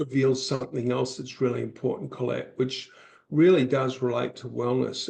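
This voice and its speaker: A man talks with vocal fry. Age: 60s. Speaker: author and public speaker, podcast guest. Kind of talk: podcast interview conversation.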